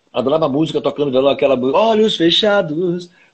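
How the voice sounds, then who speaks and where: Very wide pitch swings mark this man's voice. He talks at a very fast pace. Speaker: singer-songwriter. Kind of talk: casual interview. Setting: Instagram live video call. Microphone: unstable connection.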